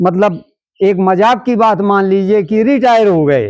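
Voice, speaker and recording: A man is talking. The background is quiet. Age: 80s+. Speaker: retired teacher and social worker. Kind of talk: interview.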